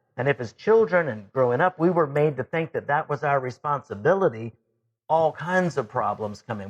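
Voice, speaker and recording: With an unremarkable speaking voice, this man talks at a moderate pace in a fairly high pitch, his intonation lively. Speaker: life and leadership coach, radio show host. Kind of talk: coaching talk radio monologue.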